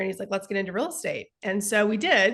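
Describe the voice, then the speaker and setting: A woman speaks very fast at a fairly high pitch in a strong Texas accent. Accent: thick Texas. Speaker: sales coach and real estate investor. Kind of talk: interview.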